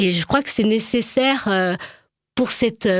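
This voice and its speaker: The woman's medium-pitched voice moves very slowly, its pitch varying in an ordinary way. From France, Charente. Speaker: dancer and choreographer. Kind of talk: interview. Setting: studio. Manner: halting.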